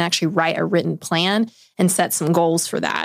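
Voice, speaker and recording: Woman's voice, fairly low in pitch, with vocal fry, fairly even intonation and a fairly quick pace. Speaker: podcast co-host. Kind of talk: casual chat. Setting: studio.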